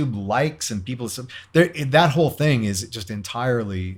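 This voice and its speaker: A somewhat breathy man with an American accent, lively intonation and a moderate pace, in a very clean recording with a silent background. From US Midwest (Cleveland, Ohio). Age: 60s. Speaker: guitarist and radio host. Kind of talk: interview conversation. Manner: hesitant, many fillers.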